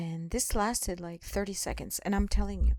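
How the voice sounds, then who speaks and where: Recorded with a dry, close sound with no echo, a woman speaks with a non-native accent. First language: not English. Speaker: spiritual vlogger. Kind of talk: personal testimony. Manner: slow; halting.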